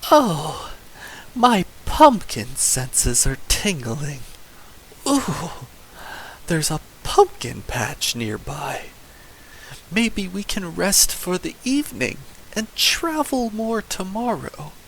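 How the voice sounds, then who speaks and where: Over clear background noise, a man puts on a high-pitched character voice and speaks at a very slow pace with long, frequent pauses. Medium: read story.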